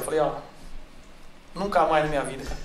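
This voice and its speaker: A man speaks with a fairly high pitch. There is audible room echo around him. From interior of São Paulo state (Barretos). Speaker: sertanejo singer. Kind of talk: casual interview.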